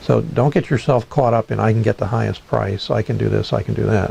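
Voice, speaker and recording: With noticeable noise around him, a man talks fairly quickly. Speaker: real estate investor and mentor. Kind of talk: tutorial. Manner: fast.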